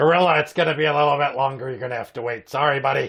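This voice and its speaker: A man's put-on character voice, raspy and fairly high-pitched, at a very fast pace with fairly even intonation. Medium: comedy sketch. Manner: deadpan, bickering.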